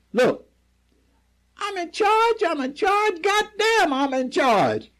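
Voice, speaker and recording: A man uses a put-on character voice, pitched extremely high. He speaks at a very slow pace. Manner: bluster, insisting on authority.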